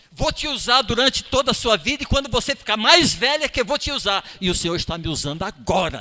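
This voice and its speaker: Over noticeable background noise, a man talks fairly quickly, his pitch swinging very widely. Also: hardly any pauses. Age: 60s. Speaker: lay preacher. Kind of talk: sermon. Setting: church.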